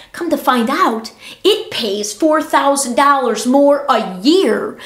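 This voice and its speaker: Audible room echo surrounds a woman speaking at a fairly slow pace. Her pitch swings very widely. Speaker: podcaster, former teacher. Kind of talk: casual monologue. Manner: animated.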